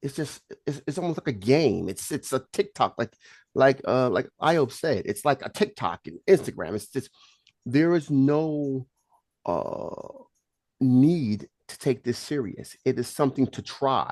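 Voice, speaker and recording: With a New York accent, a man with a fairly high pitch talks at a fairly slow pace, his intonation lively and his tone animated. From Brooklyn, New York. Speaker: polygamist giving relationship advice. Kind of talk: group discussion.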